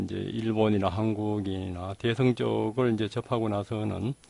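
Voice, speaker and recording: At a very slow pace, a man talks in a fairly low voice. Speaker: meditation teacher. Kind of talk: dharma lecture. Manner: many filler words, hesitant.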